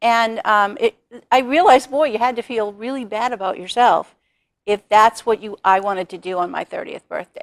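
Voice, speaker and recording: This woman has a plain, everyday voice, fairly high in pitch with ordinary pitch variation. Her loudness swings widely, and the sound is dry and close with no echo. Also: moderate pace. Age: 60s. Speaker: author and speaker. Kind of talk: TV talk show interview.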